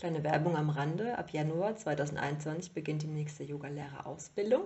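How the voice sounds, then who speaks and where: A woman speaks at a very deep, low pitch. Her voice is somewhat breathy. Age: 30s. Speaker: podcast host, yoga teacher. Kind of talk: solo monologue podcast.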